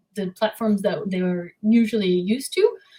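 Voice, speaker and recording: Somewhat breathy, a woman talks at a medium pitch with fairly even intonation. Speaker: web designer and developer. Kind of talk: podcast interview. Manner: hesitant, many fillers.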